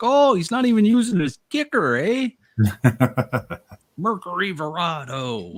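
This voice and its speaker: A man puts on a character voice with a Canadian accent, pitched high with very wide pitch swings. He talks at a fairly slow pace with long, frequent pauses. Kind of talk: casual, teasing.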